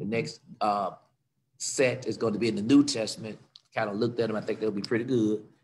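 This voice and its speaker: Talking at a very fast pace yet with long, frequent pauses, a man keeps his intonation fairly even over light background noise. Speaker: pastor leading prayer and Bible study. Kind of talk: fervent prayer with congregational call-and-response, leading worship. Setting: church service streamed on Facebook and Zoom. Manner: fervent, rhythmic, repetitive, building in emotional intensity, exclaiming praise; exhortative, urging the congregation to join in. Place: church. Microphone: video call.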